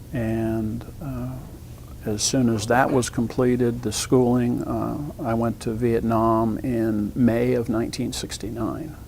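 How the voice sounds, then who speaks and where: Amid noticeable background noise and audible room echo, a man speaks very slowly at a medium pitch in a flat monotone. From southern Ohio. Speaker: Vietnam veteran. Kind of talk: oral history interview. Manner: halting, many fillers.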